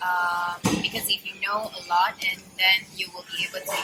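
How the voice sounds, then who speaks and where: A woman speaks at a fairly slow pace and medium pitch, with music playing in the background. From Malaysia. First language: Mandarin (mother tongue), mainly speaks English and Malay. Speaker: interviewee. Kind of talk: interview answers. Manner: halting, with fillers.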